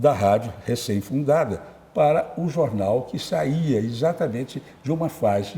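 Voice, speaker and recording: A man speaks with lively intonation. His somewhat breathy voice has a dark, mellow tone. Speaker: journalist and writer. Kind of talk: interview. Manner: halting.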